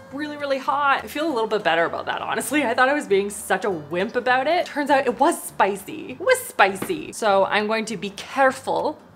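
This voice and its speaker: Faint music plays behind a high-pitched woman who speaks with hardly any pauses. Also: fairly quick pace. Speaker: product review vlogger. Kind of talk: casual vlog chat. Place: kitchen.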